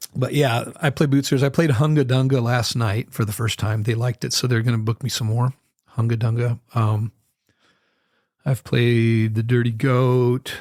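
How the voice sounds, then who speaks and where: A plain, everyday voice speaks at a moderate pace with an American accent. The sound is dry and close, with no echo. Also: man, medium pitch for a man, fairly even intonation. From northern Idaho. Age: 60s. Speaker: musician. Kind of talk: casual chat. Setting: studio.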